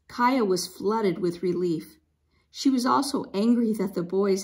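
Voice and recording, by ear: The background stays quiet while the text is read aloud in a natural voice.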